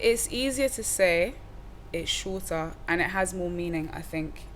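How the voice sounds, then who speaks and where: A woman speaks at a fairly slow pace, and the room echo is audible. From Wales, Cardiff. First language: Welsh. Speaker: rapper. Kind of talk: casual interview chat. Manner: animated.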